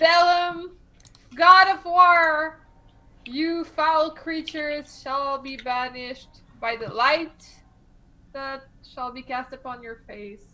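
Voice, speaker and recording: A woman's put-on character voice, high in pitch, at a very slow pace with long, frequent pauses. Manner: dramatic, declamatory.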